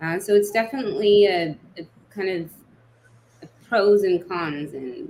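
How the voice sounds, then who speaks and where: A woman speaks at a medium pitch. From England and US, born in Nigeria. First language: Hausa. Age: 30s. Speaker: memoir author. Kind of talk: interview. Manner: casual, many fillers.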